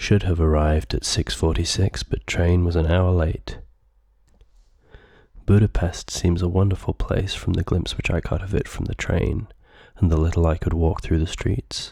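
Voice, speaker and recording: Soft-spoken delivery comes at a moderate pace. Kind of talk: audiobook reading; ASMR.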